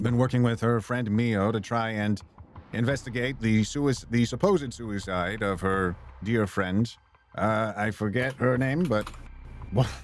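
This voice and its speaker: An unremarkable speaking voice belongs to this man, pitched at a medium level. He talks at a moderate pace with ordinary pitch variation. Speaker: voice actor, audiobook narrator. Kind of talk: casual game stream commentary.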